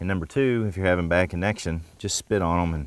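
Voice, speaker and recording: This man's very deep, low voice carries ordinary pitch variation and a dry sound with no echo. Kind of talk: tutorial. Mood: light, joking. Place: forest.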